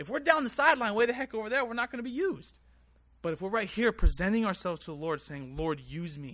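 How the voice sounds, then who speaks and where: This man's voice is high for a male, with a bright, sharp tone and very wide pitch swings. He talks very fast with big swings in loudness, on a very clean recording with a silent background. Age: 20s. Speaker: preacher. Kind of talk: sermon. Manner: earnest.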